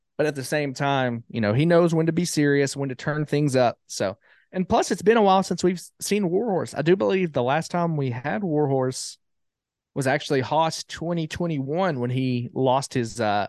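A man with an Alabama accent speaks at a fairly high pitch. The sound is dry and close with no echo, and the background is quiet. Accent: Southern US (Alabama). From Alabama, US South. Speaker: wrestling ring announcer. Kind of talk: casual interview chat.

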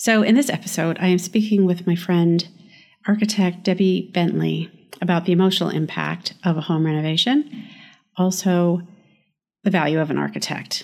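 In a plain, everyday voice, a woman speaks at a moderate pace with a fairly low pitch and ordinary pitch variation. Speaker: podcast host and architect. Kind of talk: interview conversation, podcast.

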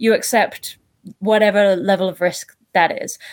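A woman speaks in a British accent. The recording is very clean with a silent background. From UK. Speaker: scientist. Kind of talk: casual chat.

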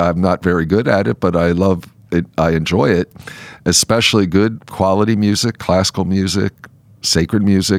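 A man's plain, everyday voice at a fairly low pitch and moderate pace, dry and close with no echo on a very clean recording with a silent background. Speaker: bishop. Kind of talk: casual chat. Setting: studio.

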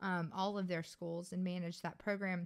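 A woman speaks in a Louisiana accent on a very clean recording with a silent background. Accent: Louisiana Southern US. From Louisiana, US South. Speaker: podcast co-host, business manager. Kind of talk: casual chat. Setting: studio, on camera.

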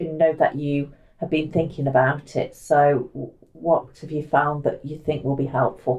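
A woman speaks at a fairly slow pace. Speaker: podcast host. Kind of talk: scripted narration; casual chat. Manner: animated.

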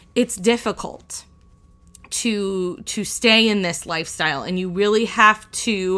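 A woman's bright, sharp tone at a medium pitch, very slow pace, ordinary pitch variation, very clean recording with a silent background. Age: 30s. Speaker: podcast host and church youth director. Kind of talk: solo faith-based podcast talk.

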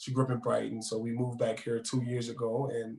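A man with an American accent rattles off his words at a very fast pace in a flat, monotone, medium-pitched voice over noticeable background noise. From New Orleans. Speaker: real estate agent and former exhibition basketball player. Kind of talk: interview.

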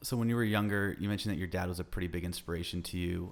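The recording is very clean, with a silent background. A man speaks in a very deep, low voice with ordinary pitch variation. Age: 30s. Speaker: podcast host. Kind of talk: interview conversation. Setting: guest's home.

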